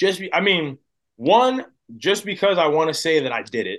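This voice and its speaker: A man speaks at a fairly slow pace with an American accent. The recording is very clean, with a silent background. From New Jersey, US. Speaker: baseball prospect. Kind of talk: interview conversation.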